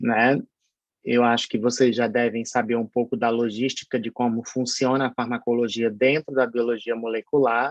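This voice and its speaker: At a moderate pace, a man speaks at medium pitch with monotone, flat intonation, in a dry, close sound with no echo. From Paraíba, northeast Brazil. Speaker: pharmacology professor. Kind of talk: online lecture. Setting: online synchronous class. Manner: hesitant, many fillers.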